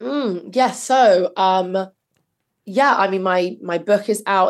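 A woman speaks very slowly with a British accent. Her pitch sits in the middle, with ordinary variation. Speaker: podcast host and novelist. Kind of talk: casual chat. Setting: video call.

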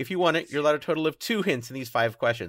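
A man's voice with lively intonation. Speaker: quiz show moderator. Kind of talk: casual quiz show banter. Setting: remote recording from home.

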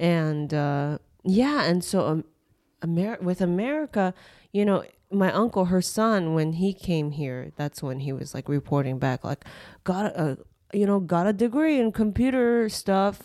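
Over a silent background in a very clean recording, a woman at a medium pitch speaks fairly slowly in a dark, mellow tone with very wide pitch swings. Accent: Japanese. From Japan, then raised in Los Angeles. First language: Japanese. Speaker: comedian. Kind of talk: casual chat.

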